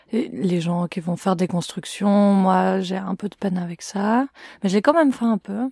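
Recorded very cleanly against a silent background, with a dry, close sound and no echo, a woman speaks at medium pitch and a fairly slow pace in a dark, mellow tone. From Switzerland, canton of Fribourg. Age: 20s. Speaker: student activist. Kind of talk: interview.

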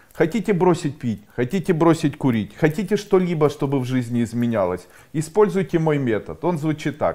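Pitch swings very widely at a moderate pace, with vocal fry throughout. The background stays quiet. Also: man. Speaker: coach or school founder. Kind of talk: motivational talk to camera. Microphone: lapel.

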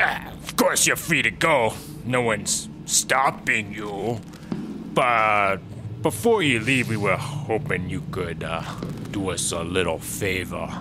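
Over loud background noise, a man talks fairly slowly at a fairly low pitch. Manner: jovial, smarmy.

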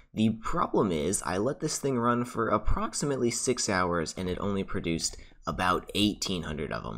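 A man's fairly low voice with vocal fry at a moderate pace, on a very clean recording with a silent background. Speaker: gaming YouTuber. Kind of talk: gameplay commentary. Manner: casual, relaxed.

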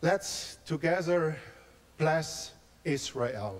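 A man with a German accent speaks at a very slow pace, his intonation lively. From Germany, near Frankfurt; Germany. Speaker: pastor; guest. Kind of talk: testimony. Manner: halting, repeating words in broken English. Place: church. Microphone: handheld.

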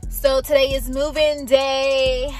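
With faint music in the background, a woman speaks at a high pitch with ordinary pitch variation, the sound dry with no echo. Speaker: vlogger. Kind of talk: casual vlog chat. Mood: excited about moving day. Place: car. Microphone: phone near.

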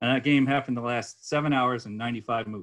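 A man speaks at a moderate pace with an American accent. His medium pitch shows ordinary variation. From US Northeast (Connecticut). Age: 50s. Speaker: chess master giving a lecture. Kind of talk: lecture. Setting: online club lecture with audience. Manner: halting with frequent fillers. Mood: relaxed, enthusiastic storytelling. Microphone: webcam.

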